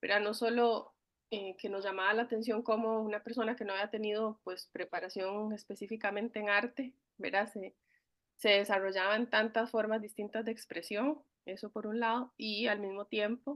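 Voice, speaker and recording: Moderate pace and a monotone, flat intonation. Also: woman, fairly high pitch for a woman. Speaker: university student. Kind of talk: class discussion. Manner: hesitant, many fillers.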